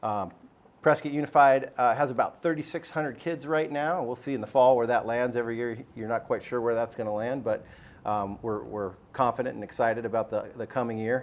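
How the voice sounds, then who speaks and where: A man with an American accent uses an ordinary speaking voice at medium pitch, with ordinary pitch variation and a fairly quick pace. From US Southwest, Arizona. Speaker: school superintendent. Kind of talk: panel discussion.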